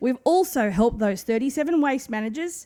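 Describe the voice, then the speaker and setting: A woman with an Australian accent talks at a very fast pace, her fairly high voice dark and mellow in tone. Her intonation is lively, and the recording is very clean with a silent background. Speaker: waste management consultant. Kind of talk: conference presentation.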